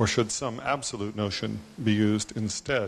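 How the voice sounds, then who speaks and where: Moderate pace from a man. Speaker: conference attendee, economist; audience member. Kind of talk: audience question. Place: hall.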